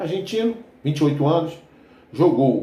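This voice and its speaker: There is audible room echo around a man's voice. His tone is dark and mellow and somewhat breathy. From Rio de Janeiro suburbs, Brazil. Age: 60s. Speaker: football fan commentator, retired army veteran. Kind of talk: casual football commentary vlog. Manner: relaxed, conversational with frequent fillers.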